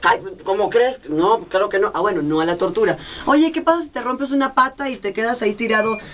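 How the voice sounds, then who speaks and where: A woman with a fairly high pitch speaks at a fairly quick pace in an animated tone, her pitch swinging very widely. Noticeable background noise runs behind her. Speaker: telenovela actress. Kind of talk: casual interview.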